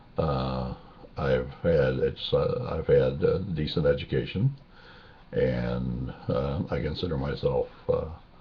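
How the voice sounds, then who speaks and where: Through noticeable background noise, a man talks at a very slow pace. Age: 60s. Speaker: video blogger. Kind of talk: casual personal video monologue. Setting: webcam recording. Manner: halting, many fillers.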